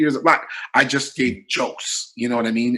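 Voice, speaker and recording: A man speaks in a Toronto accent at a moderate pace. His pitch is medium and his tone bright and sharp. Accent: Toronto-area Canadian English. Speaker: comedian. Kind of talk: casual chat. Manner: animated.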